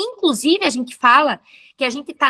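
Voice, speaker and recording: Raising and projecting her voice, a woman speaks at a moderate pace with a high pitch, very wide pitch swings and a bright, sharp tone, in a dry, close sound with no echo. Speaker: professor. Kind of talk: interview.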